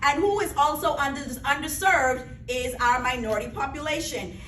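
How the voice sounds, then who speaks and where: A woman with a Bahamian accent talks at a moderate pace and high pitch with ordinary pitch variation, amid audible room echo and noticeable background noise. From Bahamas. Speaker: pharmacist, health presenter. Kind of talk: health seminar presentation. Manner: animated.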